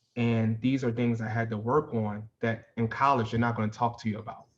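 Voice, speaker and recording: A man's medium-pitched voice at a fairly quick pace, with monotone, flat intonation. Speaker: former college football player, professional. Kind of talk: podcast interview. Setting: podcast.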